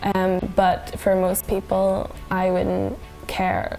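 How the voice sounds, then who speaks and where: Music plays behind a woman as she talks. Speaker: vlogger. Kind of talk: casual talk to camera.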